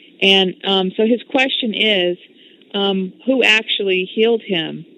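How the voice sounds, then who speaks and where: With a plain, everyday voice, a woman of medium pitch speaks at a fairly slow pace with fairly even intonation. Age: 40s. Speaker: internet radio host. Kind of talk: radio interview. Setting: internet radio show.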